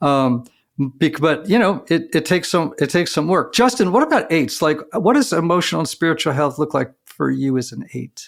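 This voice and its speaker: On a very clean recording with a silent background, a man speaks at a moderate pace with hardly any pauses, a fairly high pitch, lively intonation, and vocal fry. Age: 60s. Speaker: podcast host. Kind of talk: interview conversation.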